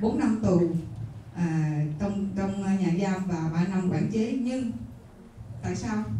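A woman speaking very slowly, with audible room echo and light background noise. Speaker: women's organization leader. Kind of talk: speech presenting a book. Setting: stage with audience. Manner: halting, many fillers.

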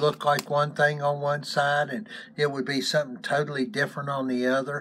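A man speaks in a fairly high pitch with a bright, sharp tone and ordinary pitch variation. Light background noise is present. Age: 70s. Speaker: YouTube co-host, grandfather figure. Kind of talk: casual chat. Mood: relaxed, chatty. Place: home room. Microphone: phone near.

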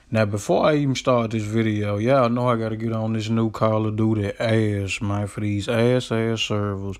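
A man speaks in an animated tone at a medium pitch. He hardly pauses at all. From Memphis, Tennessee. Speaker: gaming YouTuber. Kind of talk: angry gaming rant, raging monologue to the camera. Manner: fired-up, ranting, animated, loud, fast, profane; casual, slangy, repetitive filler like 'you know what I'm saying'.

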